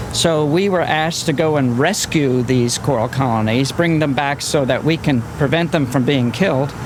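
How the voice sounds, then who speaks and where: With hardly any pauses, a man talks at a moderate pace in a fairly high voice, his loudness very even and his pitch varying ordinarily, amid noticeable background noise and audible room echo. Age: 60s. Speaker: marine biologist. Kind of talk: on-location interview, explaining.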